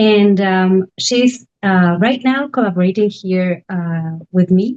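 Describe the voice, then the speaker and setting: In a Spanish accent, a woman of medium pitch speaks at a fairly slow pace with a dark, mellow tone. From Argentina, Buenos Aires. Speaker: residency director. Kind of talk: panel presentation.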